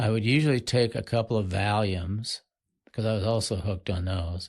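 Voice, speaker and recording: A man with an American accent speaks at a fairly low pitch and a moderate pace, somewhat breathy. His pitch varies in an ordinary way over a quiet background. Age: 70s. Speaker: podcast guest in recovery. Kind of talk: casual chat.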